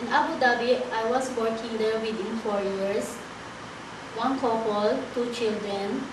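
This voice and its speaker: Noticeable background noise and audible room echo surround a woman with a fairly high pitch. She speaks very slowly with fairly even intonation. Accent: Filipino. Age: 30s. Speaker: domestic helper applicant. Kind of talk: job interview. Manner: halting.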